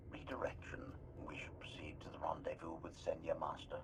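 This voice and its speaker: A put-on character voice whispers at a fairly quick pace against loud background noise. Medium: video game. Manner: prefaces statements with labels like "Observation"; deadpan, mechanical.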